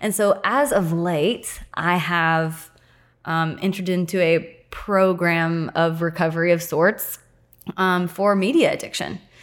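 In a plain, everyday voice, a woman with an American accent talks at a fairly slow pace and fairly low pitch, with fairly even intonation on a very clean recording with a silent background. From US small town. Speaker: podcast guest. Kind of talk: casual chat.

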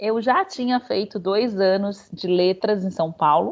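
A woman's medium-pitched voice, a plain, everyday voice. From Salvador, Bahia, Brazil. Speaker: tour guide. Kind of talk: interview conversation.

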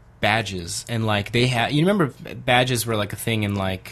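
With ordinary pitch variation, a man talks at a moderate pace in an ordinary speaking voice. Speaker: podcast co-host. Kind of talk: casual banter.

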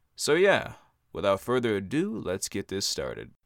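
Against a silent background on a very clean recording, a man speaks in a plain, everyday voice. His pitch is fairly low and his pace moderate. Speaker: podcast host and aspiring voice actor. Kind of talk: scripted monologue.

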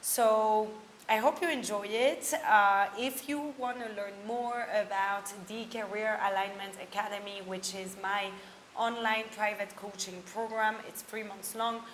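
A woman's fairly high voice, fairly slow and fairly even in intonation, with noticeable background noise. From France. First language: French and German. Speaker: career coach, podcast host. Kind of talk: podcast intro.

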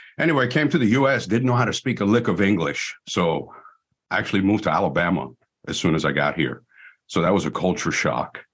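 A man's fairly low voice, with vocal fry, swings very widely in pitch while his loudness stays very even. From Iran. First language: Persian. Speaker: law enforcement trainer and former police officer. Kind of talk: casual interview. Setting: video call.

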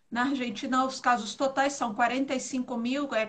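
A woman's high-pitched voice comes through. Her tone is bright and sharp. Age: 40s. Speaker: travel agency co-host. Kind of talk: casual live stream chat. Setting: live video stream.

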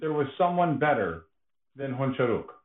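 With a Canadian accent and an ordinary speaking voice, a man at a fairly high pitch talks at a moderate pace using lively intonation. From Canada. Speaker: podcast co-host. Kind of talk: casual chat. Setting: online remote call.

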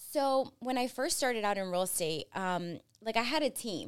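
Lively in intonation, a woman with an unremarkable speaking voice talks at a moderate pace in a very clean recording with a silent background. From New Jersey, US (born in Colombia, moved at five). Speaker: real estate broker. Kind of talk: interview.

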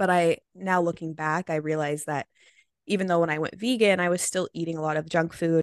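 A woman's unremarkable speaking voice with an American accent, fairly low in pitch, fairly quick in pace and fairly even in intonation, in a dry, close sound with no echo. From Oregon, US. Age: 20s. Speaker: vegan recipe creator. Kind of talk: interview. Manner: casual, filler-heavy.

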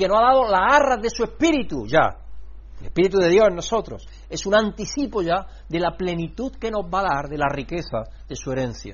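Audible room echo surrounds the speech. This man keeps a fairly quick pace. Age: 60s. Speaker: pastor. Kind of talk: sermon. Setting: church.

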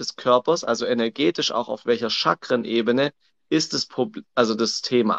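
A man talks at a moderate pace. He speaks with a Swabian accent. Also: quiet background. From Swabia, southern Germany. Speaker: coach. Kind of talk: casual chat. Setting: livestream on social media.

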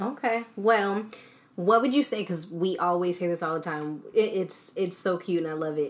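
A woman's medium-pitched, plain, everyday voice at a moderate pace with ordinary pitch variation. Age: 20s. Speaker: podcast host. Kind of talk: casual interview chat.

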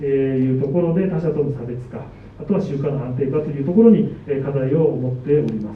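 A man talks at a fairly quick pace with a fairly high pitch and ordinary pitch variation. Noticeable background noise and audible room echo sit behind him. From Japan, Sendai (Miyagi). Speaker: supermarket produce manager. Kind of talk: presentation talk. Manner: formal; many fillers.

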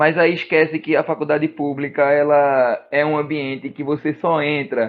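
A man has an unremarkable speaking voice, fairly high in pitch. He speaks at a moderate pace. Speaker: podcast host. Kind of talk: casual chat.

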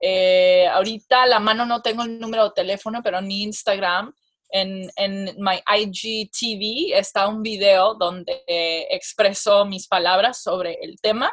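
A fairly slow pace with hardly any pauses and fairly even intonation. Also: woman, medium pitch for a woman. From Mexican and Persian family. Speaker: comedic actress and social media influencer. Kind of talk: casual interview. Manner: halting, repeats words.

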